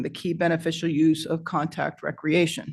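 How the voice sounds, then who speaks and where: A woman with an unremarkable speaking voice and a fairly low pitch talks at a moderate pace against a quiet background. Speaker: environmental scientist presenting to a board. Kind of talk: presentation at a public meeting.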